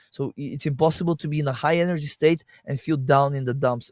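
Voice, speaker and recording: In a non-native accent, the speaker goes at a fairly quick pace with fairly even intonation, captured in a dry, close sound with no echo on a very clean recording with a silent background. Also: man. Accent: noticeable foreign. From Bulgaria. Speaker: health and detox practitioner. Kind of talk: interview conversation. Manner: halting, frequent repeated false starts.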